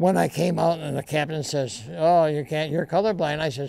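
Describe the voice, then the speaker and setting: Over a quiet background, a man with a dark, mellow tone speaks at a fairly quick pace, the sound dry with no echo. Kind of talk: interview answer. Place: studio.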